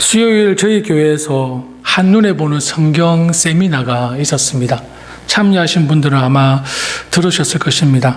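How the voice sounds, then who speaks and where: A man with a fairly high pitch talks at a moderate pace, with very even loudness and ordinary pitch variation. Noticeable background noise and audible room echo sit behind him. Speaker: pastor. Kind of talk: sermon. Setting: church.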